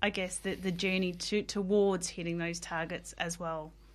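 This woman has an Australian accent. Her intonation stays fairly even. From South Australia outback. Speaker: workplace well-being consultant. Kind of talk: interview. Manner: hesitant, many fillers.

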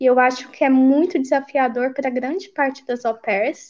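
Her voice sits at a high pitch. The woman keeps a moderate pace. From Brazil, Goiás (Pires do Rio, Goiânia). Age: 30s. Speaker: au pair living abroad. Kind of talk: casual interview chat.

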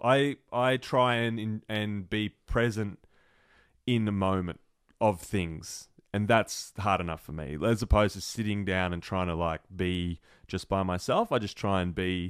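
A man in an Australian accent with a fairly low pitch, on a very clean recording with a silent background. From Melbourne, Australia. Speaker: entrepreneur, charity founder. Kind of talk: casual interview chat.

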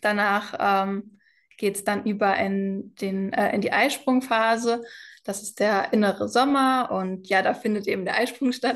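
Against a quiet background, a woman with an unremarkable speaking voice talks fairly slowly at a medium pitch, with ordinary pitch variation and big swings in loudness. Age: 20s. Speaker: cycle health mentor. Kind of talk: interview.

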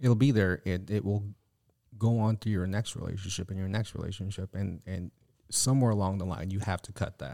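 Fairly quick in pace, the voice has a dark, mellow tone and fairly even intonation. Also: man, fairly low pitch for a man. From Filipino background. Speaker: podcast co-host. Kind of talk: casual chat.

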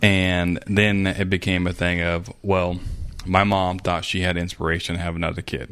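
With a monotone, flat intonation, a man speaks at a moderate pace in a very deep, low pitch. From Arkansas. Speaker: former cult member. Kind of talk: interview. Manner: halting.

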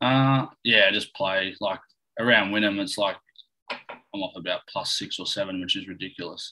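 An Australian-accented man at a moderate pace. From Australia, central west New South Wales. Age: 20s. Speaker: professional golfer. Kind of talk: casual chat. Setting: video call.

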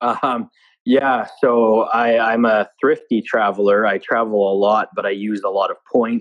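Using a normal speaking voice, a man of medium pitch talks at a fairly slow pace with fairly even intonation. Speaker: marketing director. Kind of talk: casual interview. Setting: home basement, remote call. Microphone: echoey room, weak internet connection.

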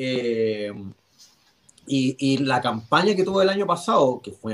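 With a Chilean accent, a man speaks in lively intonation. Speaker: NFL fan panelist. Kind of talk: casual chat.

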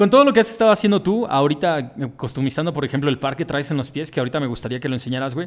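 A man's very fast speech with lively intonation. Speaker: podcast host. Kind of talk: casual chat.

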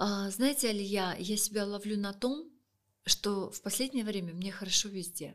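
With an unremarkable speaking voice, a woman talks at a moderate pace and medium pitch, with ordinary pitch variation. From Russia, Saint Petersburg. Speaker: feng shui expert and author. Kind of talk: podcast interview.

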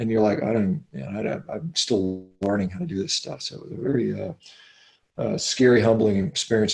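Speaking fairly quickly with an American accent, a man uses a normal speaking voice with lively intonation. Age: 50s. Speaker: physician and athlete. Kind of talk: interview.

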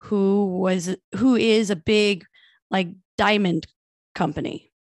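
Over a quiet background, a woman speaks at a medium pitch. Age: 30s. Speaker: podcast co-host. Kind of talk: casual chat.

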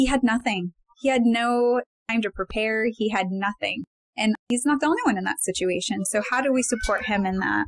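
This is an unremarkable speaking voice, using ordinary pitch variation at a moderate pace. Its sound is dry and close, without any echo. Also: woman, fairly high pitch for a woman. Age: 40s. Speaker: licensed counselor and podcast co-host. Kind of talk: casual panel discussion.

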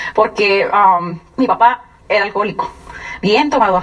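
Amid noticeable background noise, a woman speaks in an animated tone with lively intonation. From Mexico, Sonora (San Luis Río Colorado). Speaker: business distributor giving testimony. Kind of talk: testimony. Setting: stage with audience.

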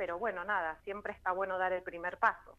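A woman talks at a medium pitch. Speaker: cultural manager and shop owner. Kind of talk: casual interview.

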